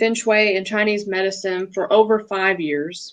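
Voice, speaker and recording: A woman is speaking. She has a Southern accent. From US South (Alabama). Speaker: feng shui practitioner. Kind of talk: casual interview chat.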